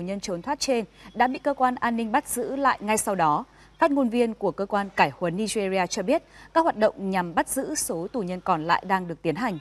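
A woman with lively intonation speaks at a moderate pace. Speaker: news anchor. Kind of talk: news reading. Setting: studio. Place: studio. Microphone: lapel.

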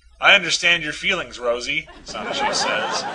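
A man talks at a moderate pace while noticeable background noise runs beneath him. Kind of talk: literary audiobook reading of comic strips. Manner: shifts into mock-dramatic character voices for dialogue.

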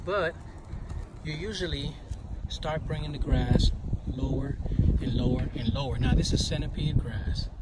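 A man with an American accent speaks at a moderate pace. Noticeable background noise and audible room echo fill the recording. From New York City (Brooklyn). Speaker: lawn care business owner. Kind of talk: casual video tip.

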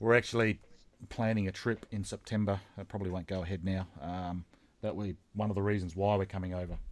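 The speech runs at a very fast pace with monotone, flat intonation. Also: man, fairly low pitch for a man. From South Australia. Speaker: YouTube channel host, model railroader; YouTube channel host. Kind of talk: interview. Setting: online call. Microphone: video call.

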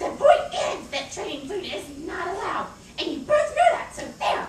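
A cartoonish character voice with an extremely high pitch and a smug tone swings very widely in pitch. There is a slight echo and loud background noise. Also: moderate pace. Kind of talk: puppet show dialogue. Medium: puppet show. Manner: gleeful, smug, taunting.

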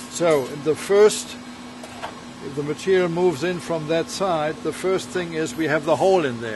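Noticeable background noise fills the recording. Over it, a man speaks at a moderate pace. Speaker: factory owner giving tour. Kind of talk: tour explanation. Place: factory. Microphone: camera far.

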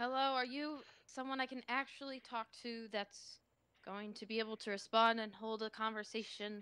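The voice has a bright, sharp tone and fairly even intonation, moving at a moderate pace with a dry sound and no echo. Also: woman. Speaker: player. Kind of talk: casual game banter. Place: home room.

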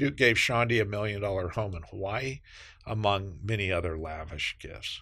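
Fairly low-pitched male voice with a bright, sharp tone over a quiet background. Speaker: presenter. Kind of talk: scripted explainer narration.

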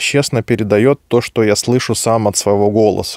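At a moderate pace, the speech comes through with a dry sound, no echo, and a quiet background. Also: man. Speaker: microphone reviewer. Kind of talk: tutorial. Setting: studio. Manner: informal, chatty. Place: home room. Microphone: studio mic.

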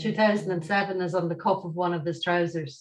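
A woman's medium-pitched voice with an Irish accent. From Ireland. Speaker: event host and moderator; event host, moderator. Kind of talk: hosting an online talk. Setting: video call. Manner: hesitant, many fillers. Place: home room. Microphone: webcam.

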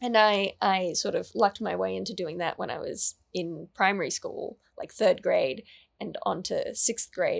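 A woman with an Australian accent at a fairly slow pace, against a quiet background. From Australia, New South Wales. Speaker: actor, writer and YouTuber; actor, YouTuber. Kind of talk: interview. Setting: studio interview set. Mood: relaxed, chatty. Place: studio. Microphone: studio mic.

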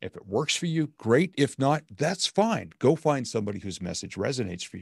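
Speaking at a fairly quick pace with vocal fry, a man at medium pitch makes very wide pitch swings and big swings in loudness, with a dry sound, no echo and a quiet background. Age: 50s. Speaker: motivational speaker and coach; motivational speaker, coach. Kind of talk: casual interview. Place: home room.

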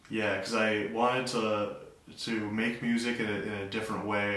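A man's fairly low voice, with audible room echo and light background noise. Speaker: guest. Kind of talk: interview answer. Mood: relaxed, reflective. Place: bathroom.

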